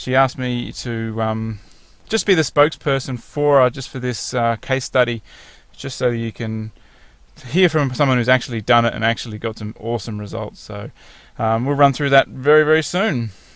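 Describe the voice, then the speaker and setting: With an Australian accent, a man speaks at a moderate pace and medium pitch, using ordinary pitch variation. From rural Victoria, southern Australia. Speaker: fitness program client and spokesperson. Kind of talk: testimonial slideshow presentation. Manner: casual, conversational with filler words.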